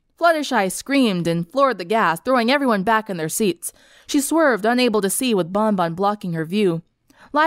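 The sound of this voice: Lively intonation in an unforced reading voice.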